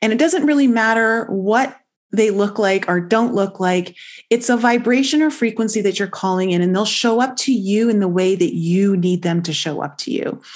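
Against a quiet background, a woman with a Canadian accent talks at a moderate pace in a fairly high pitch with ordinary pitch variation and an unremarkable speaking voice. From Canada, Toronto. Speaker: intuitive life coach. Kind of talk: interview testimony.

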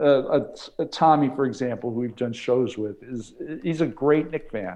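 In an American accent, a man with a dark, mellow tone speaks with ordinary pitch variation. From New York. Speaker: basketball analyst co-host. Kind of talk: casual sports talk.

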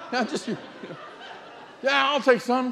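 A man with an American accent speaks at a fairly slow pace, with noticeable background noise and audible room echo. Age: 60s. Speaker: visiting preacher. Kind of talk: sermon.

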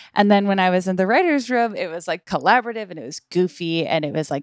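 On a very clean recording with a silent background and a dry, close sound with no echo, a woman in a normal speaking voice talks with an American accent and ordinary pitch variation. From US Northeast, Boston area. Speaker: podcaster and author. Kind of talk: casual chat.

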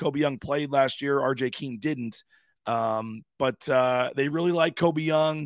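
A man's unremarkable speaking voice, fairly high in pitch with ordinary variation, at a fairly slow pace, in a dry, close sound with no echo and a very clean recording with a silent background. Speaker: sports radio host. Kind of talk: casual sports talk radio chat.

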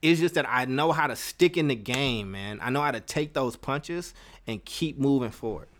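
A man's fairly high-pitched voice, animated in tone, at a moderate pace. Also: ordinary pitch variation, very clean recording, silent background. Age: 30s. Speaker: podcast host. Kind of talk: personal storytelling monologue. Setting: live stream.

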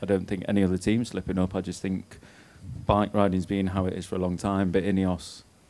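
Speaking very fast with an English accent, a man talks in a very deep, low voice with a monotone, flat intonation. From Britain. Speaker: former pro cyclist. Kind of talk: live on-stage chat. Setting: stage with live audience.

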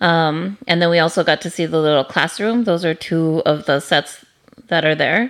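A woman talks at a moderate pace and a fairly low pitch, with ordinary pitch variation. The recording is very clean, the background silent. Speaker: podcast host. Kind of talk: casual chat. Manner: animated, enthusiastic.

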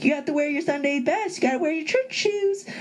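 A put-on character voice rattles off lines at a very fast pace and high pitch over clear background noise. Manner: mocking.

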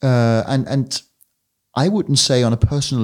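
A man speaks with a Danish accent. The recording is very clean, with a silent background. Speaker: podcast host. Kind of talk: interview.

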